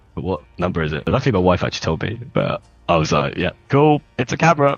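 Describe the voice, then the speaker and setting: Someone talks at a very fast pace in an English accent, with very wide pitch swings. Music plays in the background. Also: man, very deep, low pitch for a man. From England. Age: 30s. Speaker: historical reenactor. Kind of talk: interview. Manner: casual, hesitant with fillers.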